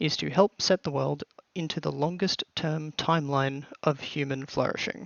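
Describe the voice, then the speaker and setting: Speaking at a moderate pace, a man with an Australian accent has a fairly high pitch. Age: 20s. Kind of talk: scripted channel introduction to camera.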